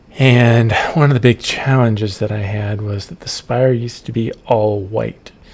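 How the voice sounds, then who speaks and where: Soft-spoken and with fairly even intonation, the voice moves at a moderate pace with hardly any pauses, shows big swings in loudness, and sits over noticeable background noise. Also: man, medium pitch for a man. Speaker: game developer. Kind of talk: narrated gameplay walkthrough. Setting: at home late at night. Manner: hesitant, many ums.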